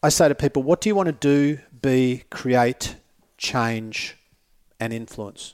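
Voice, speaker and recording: Speaking at a fairly slow pace with an Australian accent, the voice comes through dry and close with no echo on a very clean recording with a silent background. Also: man. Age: 50s. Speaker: motivational speaker. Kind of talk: casual chat. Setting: studio.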